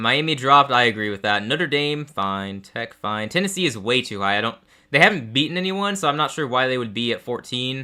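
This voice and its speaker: With an American accent, a man speaks at a medium pitch. His pace is fairly quick and his intonation lively. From Texas. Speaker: sports streamer. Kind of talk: live game reaction commentary. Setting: live stream. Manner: casual, with frequent fillers.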